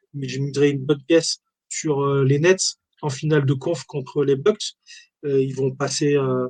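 A man with a fairly high pitch sounds somewhat breathy and speaks at a fairly slow pace with fairly even intonation and long, frequent pauses. The sound is dry and close, with no echo. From France, Valence (Drôme). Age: 40s. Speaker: sports memorabilia shop owner. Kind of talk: casual interview. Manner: hesitant, many fillers.

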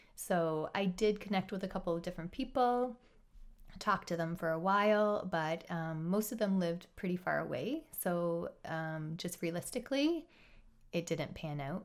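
At a moderate pace, a woman talks in a normal speaking voice with ordinary pitch variation. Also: medium pitch for a woman. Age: 30s. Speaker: teacher. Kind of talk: casual chat.

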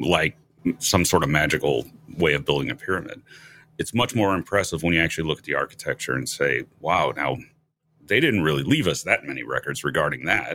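Using a bright, sharp tone, a man talks at a fairly quick pace with a very deep, low pitch, vocal fry and lively intonation. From US Midwest, St. Louis. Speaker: podcast host. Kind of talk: interview.

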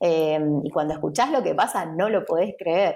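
A woman talks in a normal speaking voice, fairly low in pitch, with ordinary pitch variation. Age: 30s. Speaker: entrepreneur and designer. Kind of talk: interview.

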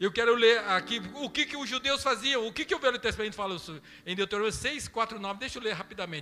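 Talking at a very fast pace with hardly any pauses, a man uses a raised, projected voice at a high pitch with ordinary pitch variation. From Brazil. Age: 50s. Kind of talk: sermon.

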